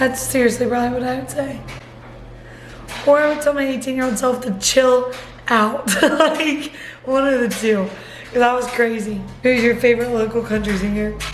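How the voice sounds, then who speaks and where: With music in the background and audible room echo, a woman speaks in a high pitch at a moderate pace, with fairly even intonation and long, frequent pauses. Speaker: vlogger. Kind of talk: casual Q&A vlog. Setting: at home on the couch.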